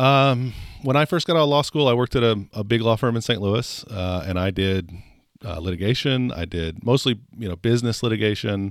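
A man's unremarkable speaking voice, medium in pitch, with lively intonation and a fairly quick pace, on a very clean recording with a silent background. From Oklahoma, Stillwater. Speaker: mayor and mayoral candidate, lawyer. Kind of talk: casual interview. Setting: studio.

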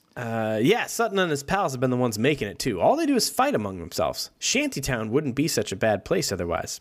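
A man's medium-pitched voice with vocal fry, very wide pitch swings and a very fast pace. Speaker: podcast co-host. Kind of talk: casual chat. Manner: loud.

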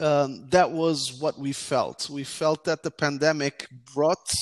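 With a Portuguese accent, a man talks at a fairly slow pace in a fairly high pitch with ordinary pitch variation, on a very clean recording with a silent background. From Portugal, partly childhood in the US. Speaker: tech startup founder. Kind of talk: interview. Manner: halting, many fillers.

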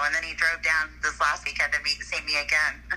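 Noticeable background noise runs through the clip. The woman's pace is moderate. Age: 50s. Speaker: guest discussing dating. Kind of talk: casual chat.

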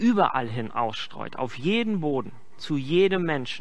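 Audible room echo surrounds a man whose fairly high voice makes very wide pitch swings. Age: 30s. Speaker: pastor. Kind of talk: sermon.

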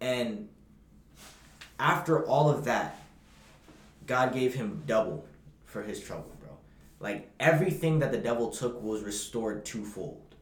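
A man's somewhat breathy, medium-pitched voice with lively intonation and an animated tone, fairly slow with long, frequent pauses, big swings in loudness, and audible room echo. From Bahamas. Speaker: podcast co-host. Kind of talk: casual chat.

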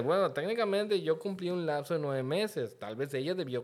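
Very fast male speech, noticeable background noise throughout. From Mexico, Yucatán (Mérida). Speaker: podcast guest. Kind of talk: casual chat.

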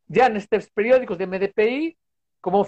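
Lively intonation runs through a man's high-pitched voice as he talks at a moderate pace. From Spain. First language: Spanish (speaking Portuguese). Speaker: sports science professor. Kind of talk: casual interview. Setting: video call from home balcony.

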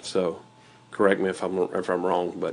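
Vocal fry runs through a man's low-pitched voice.

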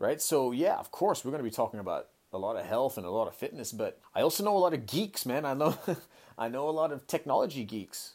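On a very clean recording with a silent background, a man with an American accent and fairly high pitch races along at a very fast pace through very wide pitch swings. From Hong Kong. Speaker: podcast host and kettlebell coach. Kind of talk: casual monologue. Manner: animated.

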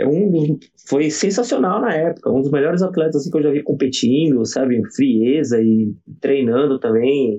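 A man talks with lively intonation and a fairly high pitch, keeping a moderate pace in a normal speaking voice. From southern Santa Catarina, Brazil. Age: 40s. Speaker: gymnastics coach. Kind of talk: casual interview.

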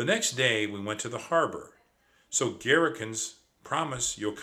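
The intonation rises and falls in a lively way. It is someone reading aloud in a natural voice.

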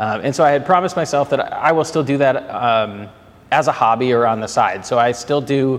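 Here a man talks at a moderate pace with an American accent and a fairly high pitch. His loudness stays very even, with ordinary pitch variation. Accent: Minnesotan, slight to moderate. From Twin Cities, Minnesota. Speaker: business banker. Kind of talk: casual interview chat.

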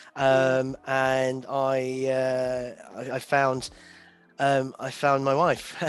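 Against noticeable background noise, a man with a British accent talks at a very slow pace, his medium pitch held in a monotone, flat intonation. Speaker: events industry professional. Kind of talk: casual interview. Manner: halting.

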